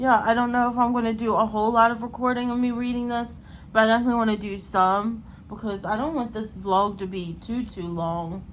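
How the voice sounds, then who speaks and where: A woman at a fairly quick pace, fairly even intonation, audible room echo around her. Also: fairly high pitch for a woman. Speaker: book vlogger. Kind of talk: casual vlog talk to camera. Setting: at home at night. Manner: casual, many fillers.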